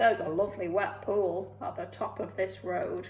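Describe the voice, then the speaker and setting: A woman puts on a croaky character voice at medium pitch. She keeps a moderate pace over clear background noise. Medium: read story.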